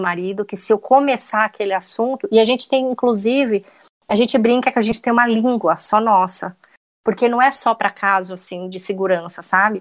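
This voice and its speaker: A woman's fairly high voice, an unremarkable speaking voice at a moderate pace, with ordinary pitch variation over a quiet background. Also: dry, close sound with no echo. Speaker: private investigator and true crime podcaster. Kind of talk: casual interview chat.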